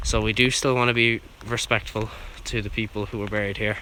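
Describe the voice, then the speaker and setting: A man's quiet, fairly low voice with monotone, flat intonation amid noticeable background noise. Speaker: urban explorer video host. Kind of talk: vlog narration on location. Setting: outdoors at graveyard. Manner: quiet, keeping voice down.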